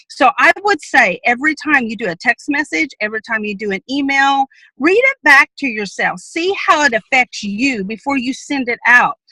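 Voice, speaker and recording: Projecting her voice, a woman speaks at a high pitch with very wide pitch swings and a bright, sharp tone. Her pace is moderate, and the sound is dry and close with no echo. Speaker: sales team trainer. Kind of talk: training presentation.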